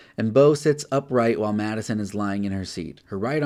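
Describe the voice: The speaker reads a text aloud. It is plain reading aloud.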